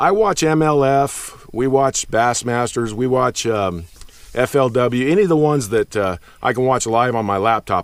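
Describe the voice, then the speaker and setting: At a moderate pace, a man with a medium-pitched, plain, everyday voice speaks with lively intonation. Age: 50s. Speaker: bass fishing youtuber. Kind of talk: unscripted monologue. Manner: casual, conversational.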